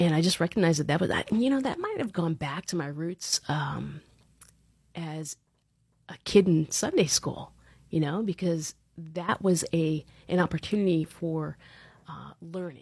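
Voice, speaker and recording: A woman with an American accent speaks in a somewhat breathy, fairly low voice with ordinary pitch variation. Her moderate pace is broken by long, frequent pauses. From Long Island, New York, then Central Florida from age 12. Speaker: leadership coach and event organizer. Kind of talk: podcast interview.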